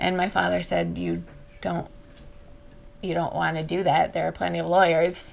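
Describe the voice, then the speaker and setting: A woman is speaking, with light background noise behind her. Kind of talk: interview answer. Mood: warm, reflective. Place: workshop. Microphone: lapel.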